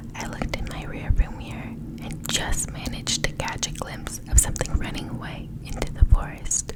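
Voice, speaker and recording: Noticeable background noise surrounds a woman whispering at a moderate pace. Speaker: ASMR creator. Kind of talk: ASMR scary story reading. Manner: whispered, soft-spoken.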